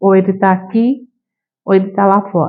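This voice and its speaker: Her intonation fairly even, a woman talks at a fairly slow pace. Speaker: spiritist lecturer. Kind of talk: lecture. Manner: halting, many fillers.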